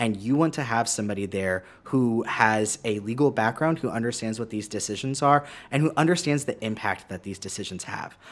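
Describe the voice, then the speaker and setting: A man with an American accent and a plain, everyday voice speaks at a fairly quick pace, medium in pitch with ordinary pitch variation, in a very clean recording with a silent background. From San Marcos, Texas. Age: 30s. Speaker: political candidate. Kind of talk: radio interview. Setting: radio studio.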